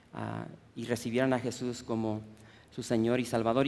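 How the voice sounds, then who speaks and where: A man talks at a moderate pace. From US Midwest (Chicago), Mexican-American family. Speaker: preacher. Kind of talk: sermon. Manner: halting, many repetitions and fillers.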